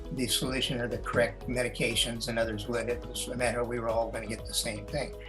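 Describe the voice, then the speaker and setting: A man talking at a very fast pace, with music in the background. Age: 70s. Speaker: Navy veteran, retired. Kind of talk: interview answer. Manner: hesitant, conversational.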